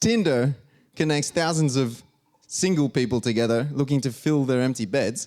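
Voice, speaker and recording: A man with an Australian accent talks at a moderate pace in a fairly high pitch, with ordinary pitch variation. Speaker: stand-up comedian and engineer. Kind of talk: stand-up.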